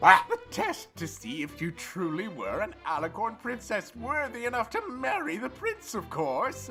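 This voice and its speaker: Over clear background music, a put-on character voice delivers its lines in a smug tone at a moderate pace. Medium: audio drama. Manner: grandiose, smug.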